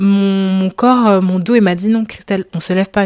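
A woman speaks at a moderate pace. Her pitch is medium and her intonation fairly even. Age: 20s. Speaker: podcast host. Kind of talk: casual solo monologue. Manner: casual, hesitant with many fillers.

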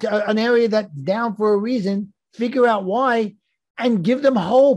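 Speaking at a fairly slow pace, a man uses a high pitch and a slightly mellow tone with ordinary pitch variation.

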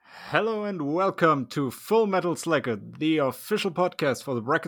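At a moderate pace, a man speaks in a normal speaking voice with lively intonation. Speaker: podcast host. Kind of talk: casual chat. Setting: remote recording.

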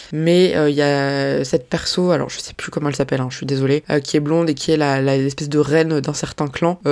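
Talking at a very fast pace, a woman with a very deep, low pitch swings widely in loudness over noticeable background noise. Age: 30s. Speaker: manga podcaster. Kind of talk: casual solo podcast Q&A. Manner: animated.

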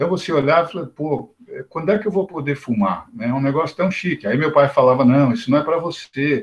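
A somewhat breathy man at a very fast pace, fairly high in pitch, with lively intonation. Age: 50s. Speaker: spiritist study group participant. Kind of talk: group discussion.

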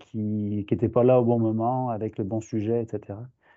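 A man speaks in a plain, everyday voice at a medium pitch. His pace is fairly slow. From France. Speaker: professor. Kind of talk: interview.

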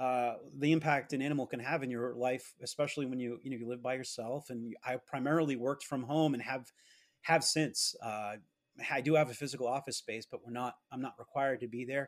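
On a very clean recording with a silent background, a man with an ordinary speaking voice and an American accent talks fairly quickly at a fairly high pitch, with ordinary pitch variation. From Massachusetts. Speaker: comic book collector. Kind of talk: interview conversation.

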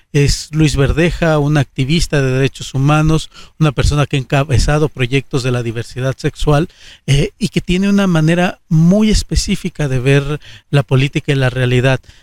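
A man with an unremarkable speaking voice talks at a moderate pace with ordinary pitch variation and very even loudness, in a dry, close sound with no echo. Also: fairly high pitch for a man. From Aguascalientes, Mexico. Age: 30s. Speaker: politician. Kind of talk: interview.

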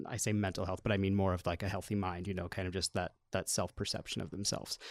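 A very deep, low male voice with an American accent, on a very clean recording with a silent background. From US Midwest (Iowa). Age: 30s. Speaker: elementary school principal. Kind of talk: casual chat.

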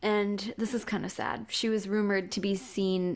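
A woman with a medium pitch talks at a moderate pace, varying her pitch in an ordinary way. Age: 20s. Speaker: podcast co-host. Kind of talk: casual chat. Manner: animated.

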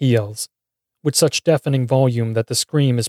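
The reading voice sounds natural, and the background stays quiet.

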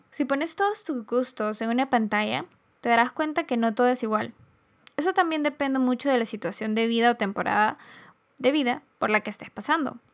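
This woman's voice is high in pitch. Her intonation is lively. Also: fairly quick pace. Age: 20s. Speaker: podcast host. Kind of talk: solo reflective monologue.

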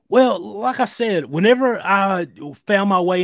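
A man with a Southern US accent uses lively intonation, recorded very cleanly against a silent background with a dry, close sound and no echo. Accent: Southern US, audible. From US South, near Greenville, South Carolina. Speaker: emergency medical worker sharing diet story. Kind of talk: interview.

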